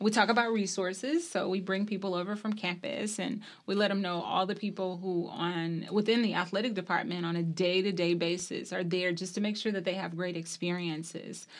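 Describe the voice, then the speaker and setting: A woman with a normal speaking voice talks at a fairly quick pace with hardly any pauses. Her medium pitch carries fairly even intonation. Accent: American. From US South, small-town Mississippi. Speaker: university athletics administrator. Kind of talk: interview.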